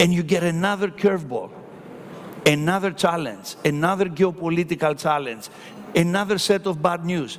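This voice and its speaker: Over noticeable background noise, a man speaks in an animated tone with high pitch and ordinary pitch variation. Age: 60s. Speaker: hotel company executive. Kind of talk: conference panel talk.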